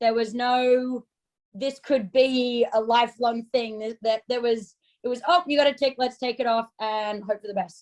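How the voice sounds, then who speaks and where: Someone with an Australian accent speaks at a moderate pace with fairly even intonation. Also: woman, high pitch for a woman. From Australia, Sydney. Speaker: ski coach and yoga instructor. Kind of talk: interview.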